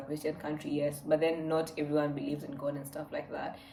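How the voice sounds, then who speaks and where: A soft-spoken woman talks with a very deep, low pitch. Noticeable background noise is audible. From Kenya. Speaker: vlogger. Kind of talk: casual Q&A vlog.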